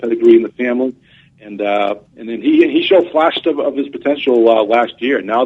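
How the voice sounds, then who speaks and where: A man with a New England accent, fairly quick and lively in intonation. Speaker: college football reporter. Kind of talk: sports radio interview. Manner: halting, many fillers and repeats.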